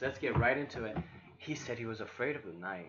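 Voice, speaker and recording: A man's very fast speech at a medium pitch with ordinary pitch variation and a non-native accent, over noticeable background noise. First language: not English. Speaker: gaming reaction youtuber. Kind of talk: game reaction with reading aloud.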